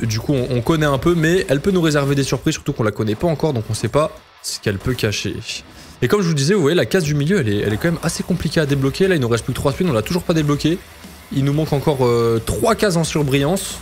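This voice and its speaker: A man talks at a very fast pace. His fairly high pitch carries lively intonation. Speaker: casino streamer. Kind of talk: live slot commentary. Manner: animated.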